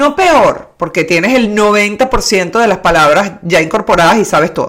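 A woman's voice leaps through very wide pitch swings. Noticeable background noise runs under her speech. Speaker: trained broadcaster. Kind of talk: casual chat.

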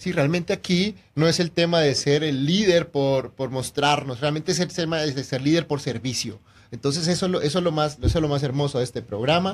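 A somewhat breathy man with a fairly high pitch talks at a fairly quick pace, his pitch varying in an ordinary way. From Colombia. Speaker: real estate agent and radio co-host. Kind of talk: radio interview.

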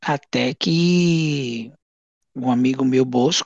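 A normal speaking voice from a man, medium in pitch, with fairly even intonation and a dry, close sound with no echo. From Goiás, Brazil. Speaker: elderly caregiver and former social project founder. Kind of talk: interview.

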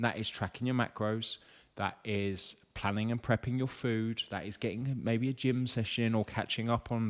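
A man with an English accent, animated in tone, at a moderate pace. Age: 30s. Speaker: fitness coach. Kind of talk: live Q&A stream.

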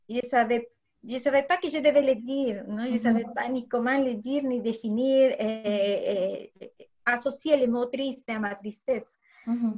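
A woman with a Spanish accent, high pitch, fairly even intonation and a fairly slow pace. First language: Spanish (speaking French). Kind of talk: interview.

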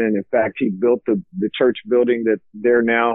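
A man speaks with an American accent. His pitch is medium and his pace moderate. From central Texas, Lockhart. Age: 40s. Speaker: amateur bass fisherman. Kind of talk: casual interview. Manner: hesitant, many fillers.

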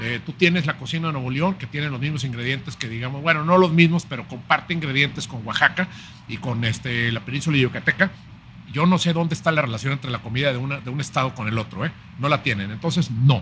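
The man talks very fast. Noticeable background noise is heard behind him. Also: fairly high pitch for a man, ordinary pitch variation. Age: 50s. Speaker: chef and writer. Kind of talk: casual interview.

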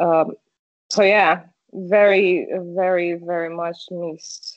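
The speaker is a woman with a Portuguese accent. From Brazil. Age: 30s. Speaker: streamer and car community product manager. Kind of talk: casual interview chat. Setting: video call.

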